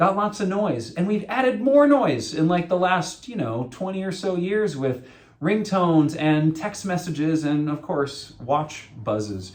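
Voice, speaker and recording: A loud man with an American accent speaks at a high pitch for a man, his pitch swinging very widely. He talks fairly slowly with hardly any pauses, over noticeable background noise and audible room echo. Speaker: associate pastor. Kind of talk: sermon.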